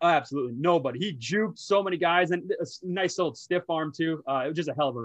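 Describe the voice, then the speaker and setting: A man with an American accent talks very fast in a high voice. He hardly pauses at all. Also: ordinary pitch variation. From Minnesota. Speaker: sports betting podcast host. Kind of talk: casual chat.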